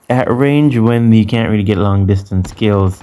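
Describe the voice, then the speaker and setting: In a strong Jamaican accent, the voice moves at a moderate pace with a dark, mellow tone. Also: man. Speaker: gaming YouTuber. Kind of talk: gameplay commentary.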